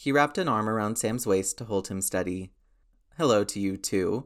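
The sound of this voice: Just an unforced reading voice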